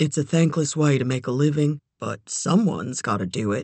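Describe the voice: A woman's put-on character voice, low-pitched, slightly mellow with a slightly husky edge, lively intonation at a moderate pace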